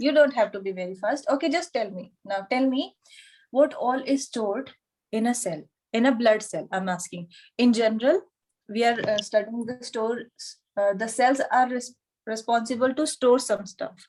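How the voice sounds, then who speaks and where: Speaking with an Indian accent at a moderate pace, a woman uses a fairly high pitch and ordinary pitch variation. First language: Hindi. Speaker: yoga anatomy teacher. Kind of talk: online lecture.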